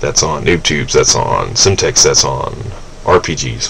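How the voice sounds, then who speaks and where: A man speaks against noticeable background noise. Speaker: gaming commentator. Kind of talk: gameplay commentary. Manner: rambling, hesitant with many fillers.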